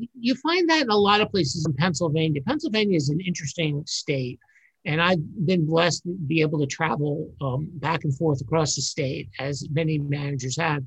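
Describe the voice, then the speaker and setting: With a New York accent, a man talks at a fairly quick pace. His pitch is fairly high and varies in an ordinary way. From New York City. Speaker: borough manager. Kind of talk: interview.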